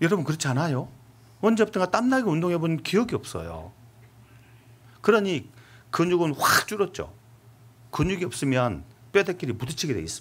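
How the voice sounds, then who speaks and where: A man with a high pitch talks at a fairly quick pace with lively intonation, broken by long, frequent pauses. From Seoul, South Korea. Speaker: pastor. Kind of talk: sermon.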